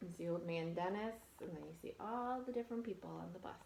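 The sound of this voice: A woman talks fast with vocal fry, her pitch fairly low. Her tone is slightly mellow, with ordinary pitch variation.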